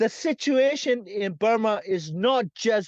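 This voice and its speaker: This man speaks with a high pitch at a very slow pace. The sound is dry and close with no echo, over a quiet background. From Myanmar. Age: 60s. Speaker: academic and human rights activist. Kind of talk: interview.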